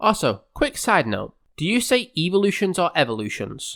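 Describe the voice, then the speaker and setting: In a very clean recording with a silent background, a man with an English accent speaks with very wide pitch swings. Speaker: gaming YouTuber. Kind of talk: scripted video essay.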